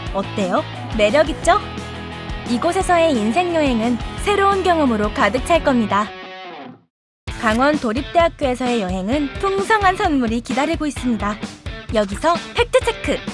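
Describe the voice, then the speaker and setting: Over background music, a woman with a high, upbeat voice speaks at a moderate pace, her pitch swinging very widely between long, frequent pauses. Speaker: voice actor. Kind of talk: university promotional video narration. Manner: upbeat, bright.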